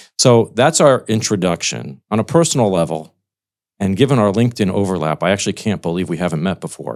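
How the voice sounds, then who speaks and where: In a very clean recording with a silent background, a man speaks at a very fast pace. He has a fairly low pitch and an American accent. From United States. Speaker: podcast host, wealth management executive. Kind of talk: interview podcast.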